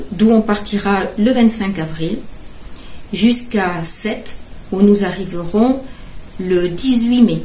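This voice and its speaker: A woman's medium-pitched voice at a very slow pace, with long, frequent pauses, ordinary pitch variation, noticeable background noise and audible room echo. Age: 70s. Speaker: caregiver and charity fundraiser. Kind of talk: presentation. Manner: halting, with many hesitations.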